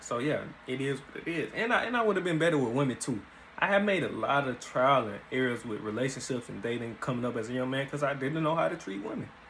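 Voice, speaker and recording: With lively intonation and a very fast pace, a man at medium pitch speaks amid audible room echo and noticeable background noise. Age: 20s. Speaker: YouTuber and amateur boxer. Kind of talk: casual vlog storytelling. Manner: casual, conversational.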